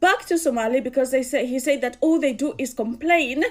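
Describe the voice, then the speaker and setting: A woman with a Kenyan accent speaks at a fairly quick pace in a high voice, her pitch varying in an ordinary way. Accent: Kikuyu (Kenyan). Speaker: commentator. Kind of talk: casual commentary.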